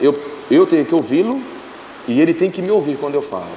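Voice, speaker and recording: A man talks at a high pitch with a Brazilian accent. Noticeable background noise runs under his voice. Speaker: teacher. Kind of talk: interview. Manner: casual, animated.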